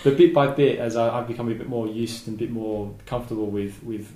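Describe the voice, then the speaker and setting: With audible room echo, a man talks using fairly even intonation. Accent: Australian. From Southeast Australia. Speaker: volcanologist and geologist. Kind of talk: interview. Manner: halting.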